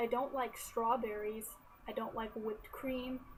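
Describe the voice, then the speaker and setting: A woman speaks softly in an American accent. Noticeable background noise runs underneath. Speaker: college student. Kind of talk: casual talk to camera. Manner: quiet, soft-spoken.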